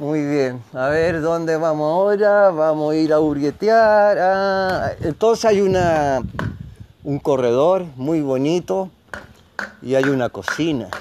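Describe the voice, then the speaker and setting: This man talks at a very slow pace with lively intonation. His voice sits fairly high for a man. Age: 70s. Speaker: community radio host. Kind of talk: casual on-location radio chat. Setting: outdoors at a rural guesthouse.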